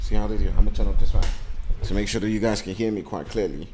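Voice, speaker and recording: A man in a non-native accent, with audible room echo. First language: not English. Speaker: esports commentator. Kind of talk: live commentary. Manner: animated.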